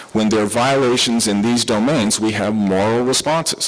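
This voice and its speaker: A man with a Southern US accent talks at a medium pitch against noticeable background noise. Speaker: psychiatrist giving a conference talk. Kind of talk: lecture. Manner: animated.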